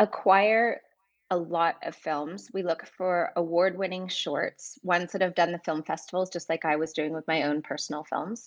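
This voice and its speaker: In a quiet setting, a woman speaks at a moderate pace with a fairly low pitch. She has an unremarkable speaking voice and ordinary pitch variation. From Vancouver, Canada. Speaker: film producer at a streaming platform. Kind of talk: interview.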